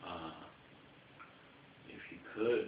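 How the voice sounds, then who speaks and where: Noticeable background noise and audible room echo surround a man speaking with an American accent. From New York. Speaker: paranormal investigator. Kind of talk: EVP session, speaking to spirits. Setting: indoors in a house room, fan off.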